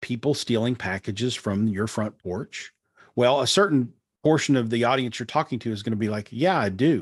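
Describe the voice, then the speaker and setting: A man with an unremarkable speaking voice holds a medium pitch, ordinary pitch variation, and a moderate speed. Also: quiet background. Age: 50s. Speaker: digital marketing strategist. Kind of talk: interview.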